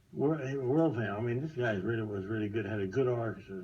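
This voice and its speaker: With an American accent, a man talks at a very fast pace in a fairly low, somewhat breathy voice with ordinary pitch variation and audible room echo. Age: 90s. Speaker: war veteran. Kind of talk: testimony. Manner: halting.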